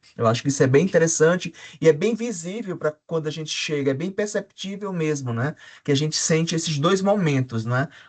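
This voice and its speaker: Against a quiet background, a man with an ordinary speaking voice talks fairly quickly at a fairly high pitch with ordinary pitch variation. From Brazil, João Pessoa (Paraíba, Northeast). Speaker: academic panelist, urban researcher. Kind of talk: academic panel discussion.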